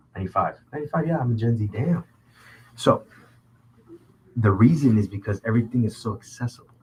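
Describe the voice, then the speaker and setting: A man's somewhat breathy, medium-pitched voice with an American accent, a very fast pace, ordinary pitch variation, and long, frequent pauses. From Southern California (Orange County). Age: 20s. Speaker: podcast host. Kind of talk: casual chat. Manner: animated.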